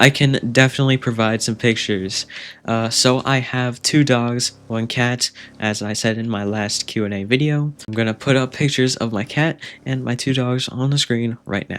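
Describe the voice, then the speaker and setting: A man speaks at a moderate pace in a plain, everyday voice, medium-pitched with fairly even intonation. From Canada, Ontario. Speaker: gaming YouTuber. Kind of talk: Q&A video answering viewer questions. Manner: casual with many fillers.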